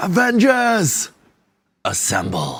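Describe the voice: This is a put-on character voice, raspy and fairly high in pitch.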